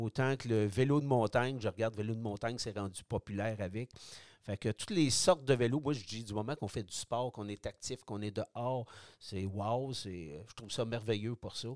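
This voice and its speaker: With a Quebec accent, a man talks at a moderate pace and medium pitch with ordinary pitch variation, in a dry, close sound with no echo on a very clean recording against a silent background. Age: 60s. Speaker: product designer, retired cyclist. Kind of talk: interview.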